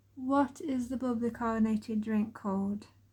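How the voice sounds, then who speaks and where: In a very clean recording with a silent background, a woman with an East Midlands accent speaks at a fairly high pitch with fairly even intonation. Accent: East Midlands English (Derbyshire). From Chesterfield, Derbyshire, England. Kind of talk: casual talk to camera.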